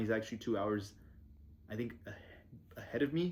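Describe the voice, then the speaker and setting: A man speaks at a medium pitch with ordinary pitch variation, in a normal speaking voice. The recording is very clean, with a silent background. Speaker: vlogger and small agency owner. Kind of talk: casual vlog. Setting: basement restroom at home. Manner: casual, rambling pace.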